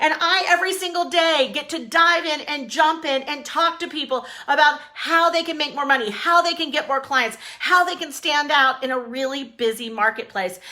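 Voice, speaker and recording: An energetic, raised and projected voice at a moderate pace, with hardly any pauses, ordinary pitch variation and noticeable background noise. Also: woman, high pitch for a woman. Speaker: business coach. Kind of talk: live-streamed motivational business talk. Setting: Facebook Live stream. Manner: loud.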